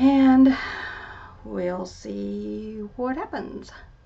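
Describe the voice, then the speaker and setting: A woman speaks over noticeable background noise. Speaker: artist. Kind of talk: tutorial. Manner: quiet at times, voice drops; casual, thinking aloud.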